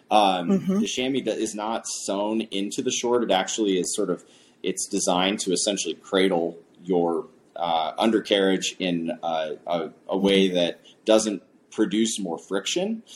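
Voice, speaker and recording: A plain, everyday voice from a man, pitched fairly low, fairly even in intonation and moderate in pace. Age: 30s. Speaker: cycling coach and bike fitter. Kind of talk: casual interview. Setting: studio.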